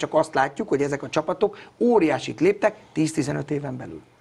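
A man's fairly high voice shows ordinary pitch variation. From Hungary. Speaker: youth football coach. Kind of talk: interview. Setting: studio. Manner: outspoken; halting. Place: studio. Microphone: lapel.

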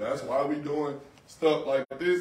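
There is audible room echo around this voice. A man speaks in a fairly high pitch. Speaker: police officer. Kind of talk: community panel discussion. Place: shop. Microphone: camera far.

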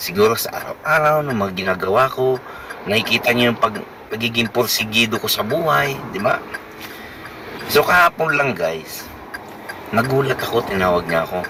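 Over noticeable background noise, a man speaks at a moderate pace in a medium pitch with lively intonation and long, frequent pauses. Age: 50s. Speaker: vlogger and family driver. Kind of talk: personal vlog talk.

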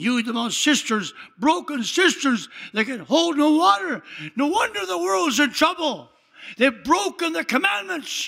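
Raised and projected, a man's extremely high voice has a bright, sharp tone and very wide pitch swings. He speaks at a fairly slow pace on a very clean recording with a silent background. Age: 80s+. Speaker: pastor. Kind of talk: sermon. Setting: church. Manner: animated.

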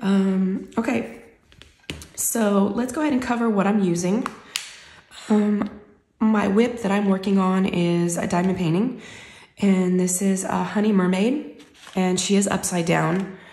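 Against noticeable background noise, a woman talks at a fairly slow pace with long, frequent pauses. Her pitch is medium, with ordinary pitch variation. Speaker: craft vlogger. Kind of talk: casual chat. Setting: home craft room. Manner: casual, friendly.

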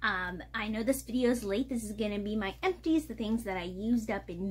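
Over light background noise, a woman with a fairly high, somewhat breathy voice talks with ordinary pitch variation. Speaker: vlogger. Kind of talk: casual vlog monologue. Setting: at home. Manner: chatty, storytelling. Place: home room. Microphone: phone near.

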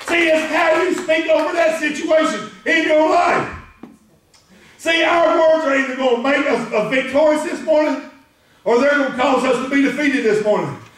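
An energetic man with an American accent and an extremely high pitch speaks at a moderate pace, with ordinary pitch variation and audible room echo. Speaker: preacher, pastor. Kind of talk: spirit-filled sermon preaching to a congregation. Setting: church sanctuary. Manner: energetic, emphatic, call-and-response. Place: church. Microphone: camera far.

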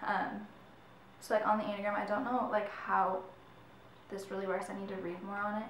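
Audible room echo and light background noise surround a woman speaking at a fairly quick pace. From Michigan. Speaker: YouTuber. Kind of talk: casual vlog talk. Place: home room. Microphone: camera far.

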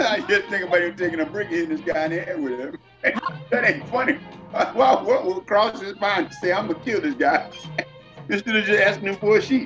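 A man's high, fairly quick voice with very wide pitch swings, over clear background music. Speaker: church elder, Bible discussion participant. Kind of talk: casual Bible discussion among several men. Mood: reflective, partly amused. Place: home room. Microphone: webcam.

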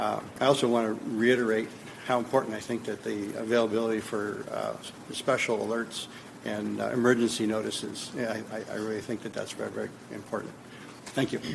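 Against noticeable background noise and audible room echo, a man with an American accent talks at a fairly quick pace in a monotone, flat intonation. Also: medium pitch for a man. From California, Gilroy. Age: 60s. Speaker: public commenter. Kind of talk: public comment. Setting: city council chambers. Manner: halting, many fillers.

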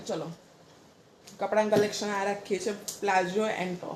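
A woman talks over noticeable background noise. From Mehsana, Gujarat. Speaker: vlogger and mother. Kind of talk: casual home vlog.

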